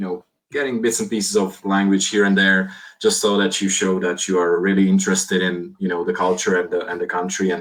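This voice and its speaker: Delivered in a Slovak accent, the speech comes very fast and flat, in a monotone. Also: man. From Slovakia. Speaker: IT security executive. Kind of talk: podcast interview. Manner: halting.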